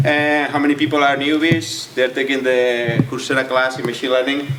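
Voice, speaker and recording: Against noticeable background noise and audible room echo, a man speaks at a moderate pace. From Spain (Catalonia). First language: Spanish or Catalan. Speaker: AI researcher and entrepreneur. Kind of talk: lecture. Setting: stage with audience. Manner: halting, many repetitions.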